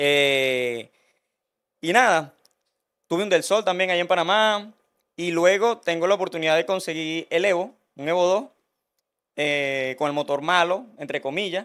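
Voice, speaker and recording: A man with a high voice at a fairly slow pace, long, frequent pauses, and a quiet background. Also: ordinary pitch variation. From Venezuela (Barquisimeto area). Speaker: Honda engine mechanic. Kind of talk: casual interview. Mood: relaxed, joking. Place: studio. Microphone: studio mic.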